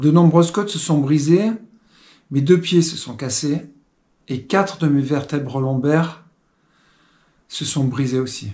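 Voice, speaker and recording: Speaking at a fairly slow pace, a man with a fairly high pitch sounds somewhat breathy, his pitch varying in an ordinary way. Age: 60s. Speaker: testimony speaker. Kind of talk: testimony. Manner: halting, with filler sounds.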